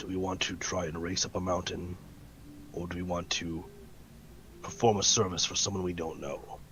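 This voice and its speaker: A man puts on a character voice, very deep and raspy, speaking in a flat monotone at a moderate pace with long, frequent pauses over clear background noise. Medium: actual play. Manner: careful, deliberate.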